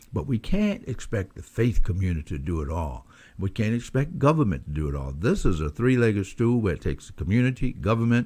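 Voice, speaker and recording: A man with a Southern US accent talks fairly quickly in a fairly low pitch with very wide pitch swings, on a very clean recording with a silent background. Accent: Southern US (Georgia). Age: 70s. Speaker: former mayor, commentator. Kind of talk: radio commentary. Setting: internet talk radio. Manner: halting, many fillers.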